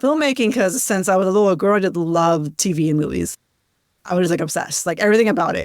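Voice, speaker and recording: A woman's voice, fairly low in pitch. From US, Sacramento, California. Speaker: filmmaker. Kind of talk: interview. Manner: casual, many fillers.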